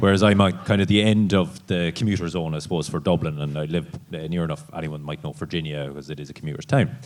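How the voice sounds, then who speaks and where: A man with an Irish accent speaks at a very fast pace, with hardly any pauses. His very deep, low voice shows ordinary pitch variation and big swings in loudness. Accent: rural Irish (Cavan). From Ireland, East Cavan. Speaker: dairy farmer. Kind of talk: panel discussion.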